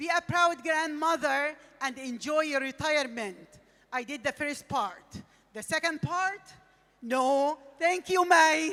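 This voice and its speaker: A woman's raised, projected voice with an Arabic accent, high in pitch and bright, sharp in tone, at a fairly slow pace with long, frequent pauses. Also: ordinary pitch variation. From Egypt. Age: 60s. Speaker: retired teacher and content creator. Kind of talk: speech on stage. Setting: stage with audience.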